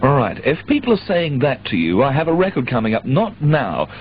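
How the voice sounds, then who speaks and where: Swinging very widely in pitch at a medium speed, a man talks over noticeable background noise. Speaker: pirate radio disc jockey. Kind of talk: radio DJ presenting show. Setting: radio broadcast aircheck, 1985.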